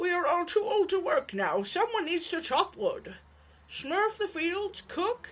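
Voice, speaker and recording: In a put-on character voice, a woman speaks at a fairly slow pace with an extremely high pitch and lively intonation. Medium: read story.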